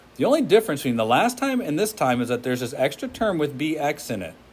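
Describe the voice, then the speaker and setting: A man's fairly high voice with vocal fry, very wide pitch swings and a very fast pace. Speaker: physics teacher. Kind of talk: classroom lecture.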